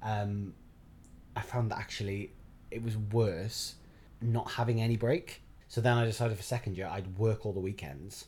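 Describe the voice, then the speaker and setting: A man talks with a South Wales accent. His voice is somewhat breathy. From Wales, Barry. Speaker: actor. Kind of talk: casual chat.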